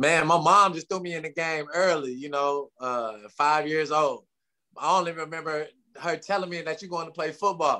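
A man with an American accent speaks at a moderate pace in a fairly high, bright, sharp tone. His intonation is fairly even, though his loudness swings widely. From Tulsa, Oklahoma. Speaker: former football player. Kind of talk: interview. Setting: remote call.

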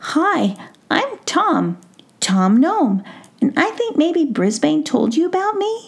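A woman's put-on character voice, high-pitched, with very wide pitch swings at a fairly slow pace. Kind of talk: bedtime story. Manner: earnest, serious, a little shy.

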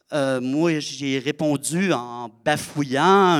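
In a Saguenay–Lac-Saint-Jean accent, a man speaks very slowly at a fairly high pitch. The sound is dry and close with no echo, on a very clean recording with a silent background. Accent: Quebec French (Saguenay–Lac-Saint-Jean). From Quebec, Lac-Saint-Jean. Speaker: storyteller and theatre performer. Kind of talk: live storytelling performance. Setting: stage with audience.

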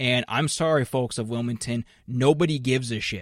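Recorded very cleanly against a silent background with a dry, close sound and no echo, a man in a normal speaking voice talks at a moderate pace and medium pitch with fairly even intonation. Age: 30s. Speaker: sports podcast host. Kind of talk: casual chat.

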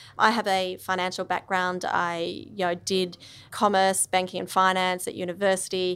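In an Australian accent, the voice holds a monotone, flat intonation throughout. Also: woman, medium pitch for a woman, moderate pace, very clean recording, silent background. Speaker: impact investor. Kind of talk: interview. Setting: studio.

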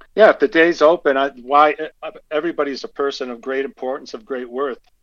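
With an ordinary speaking voice, a man talks at medium pitch with fairly even intonation. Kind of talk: casual interview. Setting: phone call.

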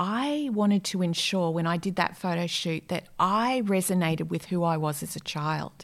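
A woman speaks with an Australian accent at a medium pitch and ordinary pitch variation. Her fairly slow delivery comes on a very clean recording with a silent background. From Australia, Brisbane. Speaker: life coach. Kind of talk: interview.

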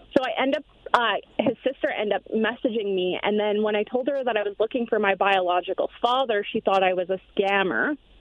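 A woman talks at a fairly quick pace with a fairly high pitch. Her pitch varies in an ordinary way, and there is noticeable background noise. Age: 30s. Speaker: caller. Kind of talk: testimony.

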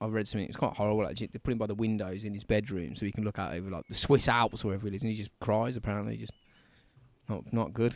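A man with a Birmingham accent speaks at a very fast pace, his pitch fairly low and his intonation fairly even. The recording is very clean and the background silent. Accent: Brummie. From Birmingham, England. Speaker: podcast co-host. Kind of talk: casual chat. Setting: outdoors in a garden.

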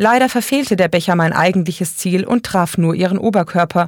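This is plain reading aloud. Pitch variation is ordinary.

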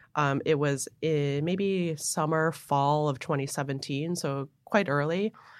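A woman speaks very slowly in an American accent, her pitch very deep and low. The recording is very clean with a silent background. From Buffalo, New York. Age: 30s. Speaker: transit board director. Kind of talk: interview.

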